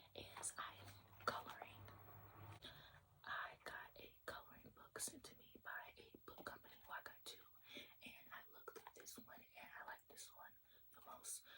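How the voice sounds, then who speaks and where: A woman is whispering. Her pace is fairly slow. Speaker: ASMR content creator. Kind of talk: ASMR whisper ramble about books and hobbies. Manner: whispered, soft.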